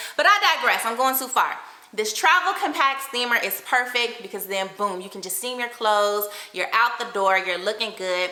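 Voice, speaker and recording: Over noticeable background noise and audible room echo, a woman with a fairly high pitch speaks at a moderate pace in an animated tone, her intonation lively and her loudness swinging widely. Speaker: lifestyle vlogger. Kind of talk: product review vlog.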